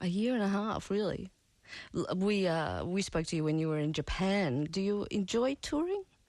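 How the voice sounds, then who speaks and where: A woman with an Australian accent, medium pitch, lively intonation and very even loudness. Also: moderate pace, quiet background. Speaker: radio host. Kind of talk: radio interview. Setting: radio studio.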